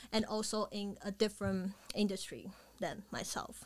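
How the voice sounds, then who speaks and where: Her pitch fairly high, a woman with an ordinary speaking voice talks at a moderate pace with fairly even intonation. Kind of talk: podcast host.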